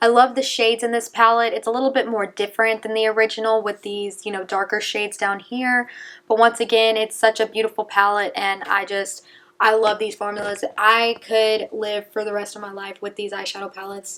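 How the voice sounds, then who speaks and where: This woman's voice sits at a fairly high pitch, with big swings in loudness. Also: fairly quick pace. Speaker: beauty youtuber. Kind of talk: casual product review. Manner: fast; animated.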